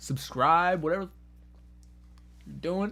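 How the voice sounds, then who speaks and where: Speaking at a fairly slow pace, a man with a high pitch and ordinary pitch variation is heard on a very clean recording with a silent background. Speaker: streamer. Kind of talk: casual live-stream chat with fight watch-along. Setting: live stream.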